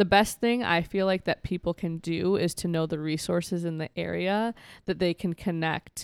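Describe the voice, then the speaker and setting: With an American accent, a plain, everyday voice moves at a moderate pace with fairly even intonation, the sound dry and close with no echo on a very clean recording with a silent background. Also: woman. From rural Minnesota. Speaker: mental health advocate. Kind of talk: interview.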